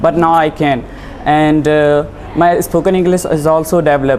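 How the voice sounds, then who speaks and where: A man with a fairly high pitch talks in fairly even intonation while noticeable background noise carries on. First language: Hindi. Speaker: officer candidate student. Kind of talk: interview.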